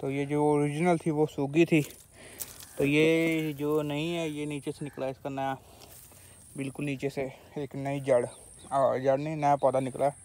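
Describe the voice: At a fairly slow pace, a man speaks in a fairly high pitch with little pitch movement. His tone is slightly mellow.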